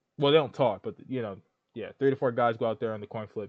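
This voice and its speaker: Animated and very fast, a man talks with lively intonation. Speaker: gaming commentator. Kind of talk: casual commentary.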